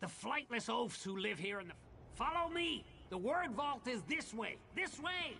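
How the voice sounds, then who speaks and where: This put-on character voice sits fairly high and swings very widely in pitch at a moderate pace. Background noise is clearly heard. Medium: video game. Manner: grandiose, archaic phrasing.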